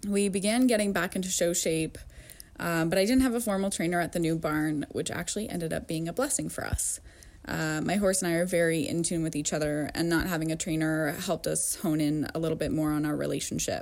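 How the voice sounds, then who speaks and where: An ordinary speaking voice from a woman, fairly low, with an American accent, fairly quick pace and ordinary pitch variation. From upstate New York. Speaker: amateur rider, listener. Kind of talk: recorded anecdote.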